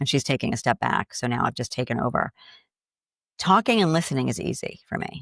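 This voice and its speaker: In a dry, close sound with no echo, a woman with a slight Boston accent talks at a fairly quick pace in a very deep, low pitch with very wide pitch swings. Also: very clean recording, silent background. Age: 60s. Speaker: grief coach. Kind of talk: interview conversation.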